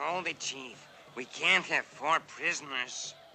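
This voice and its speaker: With clear background noise, a man does a cartoonish character voice at a fairly high pitch and a fairly slow pace. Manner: blunt, matter-of-fact.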